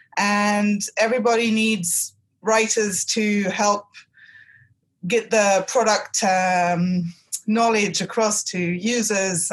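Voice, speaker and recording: A woman speaks in an English accent with a somewhat breathy voice. Her intonation stays fairly even. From England. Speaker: technical writer. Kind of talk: interview.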